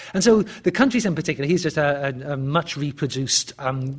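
Somewhat breathy and fairly high-pitched, a man with a British accent talks at a fairly quick pace with ordinary pitch variation. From England. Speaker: history professor. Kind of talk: lecture. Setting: stage with audience. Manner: halting.

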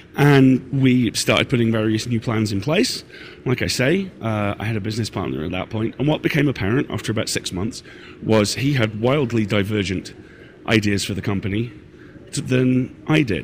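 With a British accent, a man talks at a moderate pace and with ordinary pitch variation. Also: medium pitch for a man. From Britain. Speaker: podcast network owner and host. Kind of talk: live Q&A session. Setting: stage with audience. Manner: halting.

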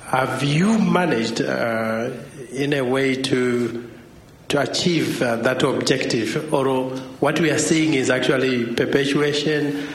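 A man's very slow speech at a fairly high pitch, with ordinary pitch variation, very even loudness, audible room echo and noticeable background noise. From Zimbabwe. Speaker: academic. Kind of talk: audience question.

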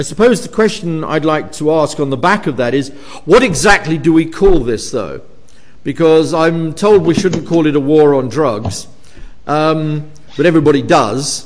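Noticeable background noise sits under a man speaking with a fairly high pitch and lively intonation. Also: moderate pace. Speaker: professor chairing event. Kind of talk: academic event chairing and Q&A. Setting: university lecture hall with audience.

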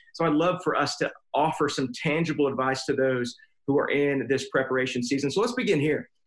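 A man with an unremarkable speaking voice talks at a fairly high pitch and a fairly quick pace. His loudness stays very even, and his pitch varies in an ordinary way. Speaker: pastor. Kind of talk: casual chat.

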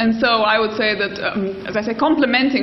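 A medium-pitched woman at a very fast pace, with audible room echo and noticeable background noise. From Albania. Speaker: political theorist. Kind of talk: panel discussion.

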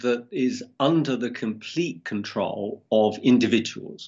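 The speaker talks at a very slow pace, and the pitch swings very widely. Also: man. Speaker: university professor. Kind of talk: interview explanation.

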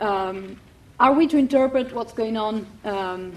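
Ordinary pitch variation and a moderate pace shape an unremarkable speaking voice. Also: woman. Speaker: event chair, political theory fellow. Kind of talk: moderating an event. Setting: university lecture hall with audience.

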